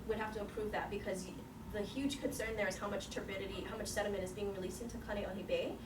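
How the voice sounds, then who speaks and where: With fairly even intonation, a woman speaks at a medium pitch, with noticeable background noise and audible room echo around her. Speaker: seminar speaker, researcher. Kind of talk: Q&A after a scientific seminar. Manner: fast.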